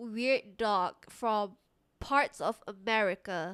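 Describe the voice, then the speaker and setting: A woman at a very slow pace on a very clean recording with a silent background. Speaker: vtuber streamer. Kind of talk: casual live stream chat. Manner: halting, repetitive.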